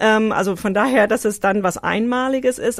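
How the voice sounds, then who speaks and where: Over a very clean recording with a silent background, a woman with a fairly high pitch speaks at a moderate pace with ordinary pitch variation. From Hawaii, US. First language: English (American) (speaking German). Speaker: interviewee, immigrant. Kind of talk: casual interview.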